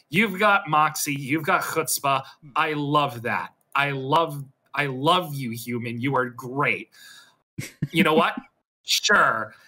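A man's put-on character voice, fairly high and cackling, at a very slow pace with long, frequent pauses. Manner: cackling, gleeful.

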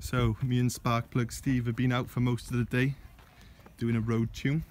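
A man's voice in a dry sound with no echo. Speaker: car owner vlogger. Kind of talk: casual vlog chat. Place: open country. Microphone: phone near.

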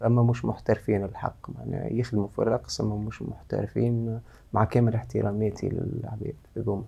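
Speaking at a moderate pace, a man has a fairly low pitch, a dark, mellow tone, ordinary pitch variation, and a somewhat breathy quality. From Tunisia. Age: 30s. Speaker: choreographer; guest. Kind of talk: interview. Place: studio.

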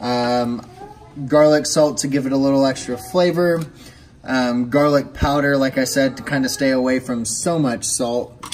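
Faint music plays in the background as a man speaks at a fairly slow pace with fairly even intonation. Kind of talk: casual cooking tutorial. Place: kitchen. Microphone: phone near.

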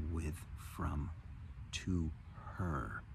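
A man speaks at a very slow pace with vocal fry, his dry voice carrying no echo over noticeable background noise. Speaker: meditation or wellness teacher. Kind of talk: spiritual talk to camera. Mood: warm, enthusiastic, calm. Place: garden. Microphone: phone near.

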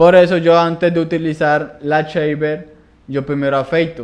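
Very slow delivery pairs with fairly even intonation. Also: man. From Colombia, Palmira (Valle del Cauca); Valle del Cauca, Colombia. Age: 20s. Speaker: barber; guest. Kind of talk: interview. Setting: studio. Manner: halting, repeats words. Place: studio. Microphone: studio mic.

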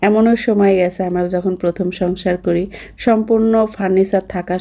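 A woman speaks at a medium pitch in a flat monotone, with a dark, mellow tone. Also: quiet background. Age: 40s. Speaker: vlogger. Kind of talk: travel vlog narration. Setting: on a plane.

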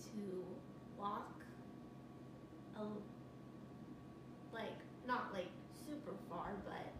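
Amid loud background noise and audible room echo, a woman speaks. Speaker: person telling her own story. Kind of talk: interview answer. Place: home room. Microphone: camera far.

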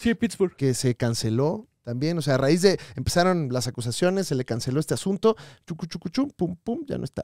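A man with a Mexican accent talks at a fairly quick pace in a fairly high voice with very wide pitch swings, the sound dry and close with no echo. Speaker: comedy podcast host. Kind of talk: casual chat. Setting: live show with audience.

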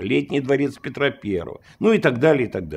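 With vocal fry throughout, a man's voice moves through very wide pitch swings. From Russia, Saint Petersburg; Russia. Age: 60s. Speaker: lawyer and former police detective; lawyer. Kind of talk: interview. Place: home room.

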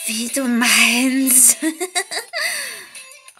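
A woman's fairly high-pitched voice over music in the background. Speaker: storyteller. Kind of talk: horror story narration. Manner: long pauses.

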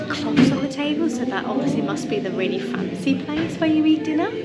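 Clear background music behind a woman talking at a moderate pace. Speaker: travel vlogger. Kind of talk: casual vlog chat. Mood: cheerful, chatty. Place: boat. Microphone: phone near.

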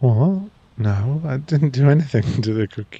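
A man speaks at a fairly slow pace in a somewhat breathy, dark, mellow voice, the sound dry with no echo over a quiet background. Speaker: ASMR performer. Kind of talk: ASMR boyfriend roleplay, whispered scripted audio drama. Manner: affectionate, gently teasing and reassuring.

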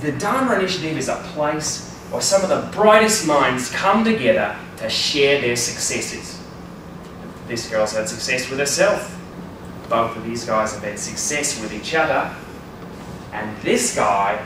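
A man talks at a fairly slow pace. Audible room echo and noticeable background noise fill the recording. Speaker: presenter. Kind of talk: humorous presentation talk. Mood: playful, joking. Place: classroom. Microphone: camera far.

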